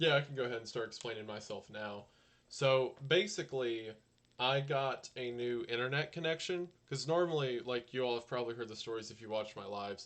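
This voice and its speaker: A soft-spoken man at medium pitch, talking fairly quickly with ordinary pitch variation and big swings in loudness. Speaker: YouTuber streaming live. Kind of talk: casual live stream chat. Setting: home live stream. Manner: quiet, soft-spoken.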